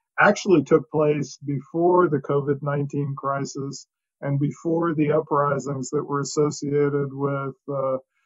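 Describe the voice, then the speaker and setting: Over a quiet background, a somewhat breathy voice speaks at a moderate pace with monotone, flat intonation. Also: man. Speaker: remote guest. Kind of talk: interview answer. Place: home room. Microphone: video call.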